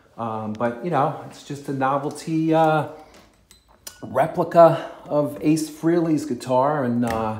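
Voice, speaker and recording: In a recording with audible room echo and noticeable background noise, a man speaks very slowly at a fairly high pitch, with ordinary pitch variation and big swings in loudness. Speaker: guitar collector and vlogger. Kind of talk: casual video talk. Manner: hesitant, many fillers.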